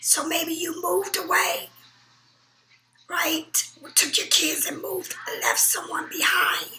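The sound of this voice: Whispering in a put-on character voice, a woman sounds hoarse and raspy, moving at a fairly slow pace with long, frequent pauses.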